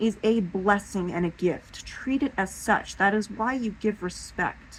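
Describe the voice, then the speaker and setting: A woman with an American accent, medium pitch, and ordinary pitch variation. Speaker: paranormal vlogger. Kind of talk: casual monologue to camera. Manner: halting, with fillers and restarts.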